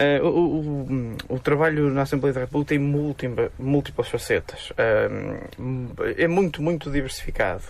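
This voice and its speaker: With hardly any pauses and very even loudness, a man speaks over noticeable background noise. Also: fairly slow pace. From northern Portugal, Amarante. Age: 30s. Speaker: politician. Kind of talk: radio interview.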